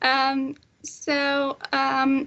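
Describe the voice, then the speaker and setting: The speaker is a woman. Her pitch sits high. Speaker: student presenter at a conference. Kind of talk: conference paper presentation. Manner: hesitant, many fillers.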